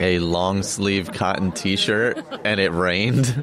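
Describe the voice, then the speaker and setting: A man speaks at a very slow pace. Noticeable background noise runs beneath his voice. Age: 50s. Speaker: podcast co-host, runner. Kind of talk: casual chat. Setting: birthday party at a brewery.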